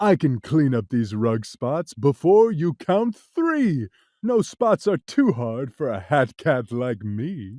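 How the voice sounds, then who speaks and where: In a put-on character voice, a man with a fairly high pitch speaks at a fairly slow pace with very wide pitch swings, on a very clean recording with a silent background. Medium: read story. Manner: laughing, carefree, boastful.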